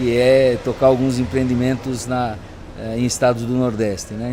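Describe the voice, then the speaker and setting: A man of medium pitch at a moderate pace, with noticeable background noise. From Brazil, São Paulo. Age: 60s. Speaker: entrepreneur and business coach. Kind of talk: interview. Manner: hesitant, many fillers.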